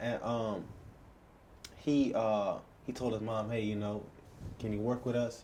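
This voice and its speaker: With audible room echo, a man speaks at a fairly slow pace in a dark, mellow tone with monotone, flat intonation and long, frequent pauses. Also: medium pitch for a man. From Bahamas. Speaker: podcast host. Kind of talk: interview.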